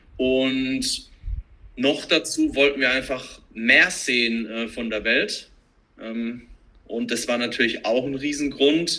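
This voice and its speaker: Fairly even intonation and a medium pitch mark a man's very slow delivery. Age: 30s. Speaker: CrossFit trainer, digital nomad. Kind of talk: casual chat.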